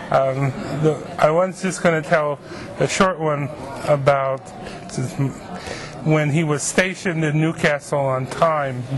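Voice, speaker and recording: Speaking at a very slow pace, a man has a fairly high pitch and fairly even intonation. There is noticeable background noise along with audible room echo. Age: 50s. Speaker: literacy teacher. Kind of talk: oral history interview. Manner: hesitant, with fillers.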